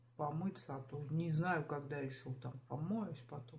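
A somewhat breathy woman speaks at a fairly slow pace with ordinary pitch variation. Light background noise is audible. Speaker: home vlogger. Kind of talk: casual vlog chat. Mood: unwell, chatty, a bit weary. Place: home room. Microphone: phone near.

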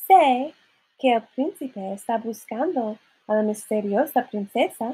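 The words are read out in a natural voice. That manner holds from start to finish.

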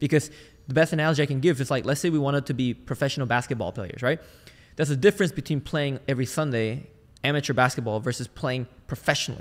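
A man with an energetic tone and a fairly high pitch, ordinary pitch variation, at a very fast pace. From Malaysia. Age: 20s. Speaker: sales team consultant and entrepreneur. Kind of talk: interview.

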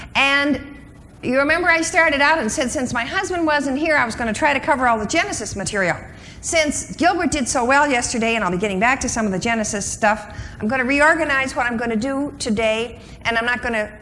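Over light background noise, a woman speaks very fast in a raised, projected voice with lively intonation. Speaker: conference speaker. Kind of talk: lecture. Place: hall. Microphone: lapel.

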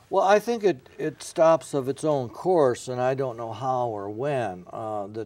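Dry with no echo, a man's dark, mellow voice proceeds at a moderate pace. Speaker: former newspaper editor, guest. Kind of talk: interview answer. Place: studio. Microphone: lapel.

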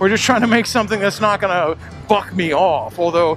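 Faint music sits behind a man whose voice sounds dry, with no echo. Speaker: motorcycle builder vlogger. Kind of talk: casual moto vlog commentary. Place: motorbike. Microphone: helmet.

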